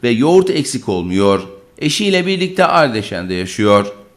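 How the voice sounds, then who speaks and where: Very wide pitch swings at a fairly slow pace. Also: man. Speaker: news reporter. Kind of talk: TV news narration.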